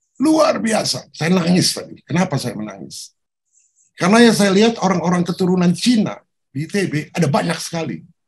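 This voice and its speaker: An animated male voice, high-pitched for a man, with lively intonation and a fairly quick pace. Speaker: professor. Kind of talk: interview.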